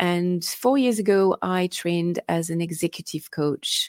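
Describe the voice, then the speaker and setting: At a fairly slow pace, a woman speaks with a French accent and ordinary pitch variation, in a very clean recording with a silent background and a dry, close sound with no echo. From France. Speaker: innovation consultant and coach. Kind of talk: interview.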